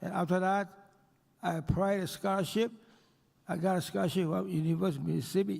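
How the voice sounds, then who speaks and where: A man with a high voice talks at a very fast pace but leaves long, frequent pauses, keeping a fairly even intonation. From Taiwan. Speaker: banker and businessman. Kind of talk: award acceptance speech. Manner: halting.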